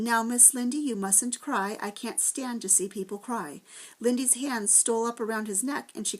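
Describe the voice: Reading aloud, plainly.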